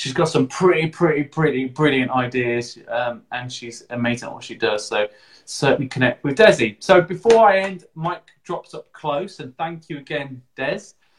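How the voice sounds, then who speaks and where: Hardly pausing, a man speaks at a moderate pace in a fairly high, somewhat breathy voice with big swings in loudness. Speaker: podcast host and digital marketer. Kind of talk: casual interview. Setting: live video stream.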